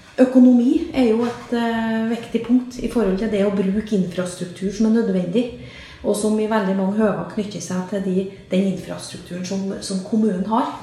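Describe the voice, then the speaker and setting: Audible room echo and noticeable background noise surround a woman's voice. She talks at a moderate pace with ordinary pitch variation. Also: medium pitch for a woman. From Trøndelag, Norway. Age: 50s. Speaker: local politician. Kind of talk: interview. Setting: studio.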